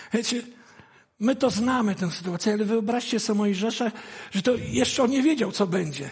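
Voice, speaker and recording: The pace is fairly quick, with ordinary pitch variation. Loudness stays very even throughout. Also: man, high pitch for a man. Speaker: guest preacher. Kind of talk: sermon.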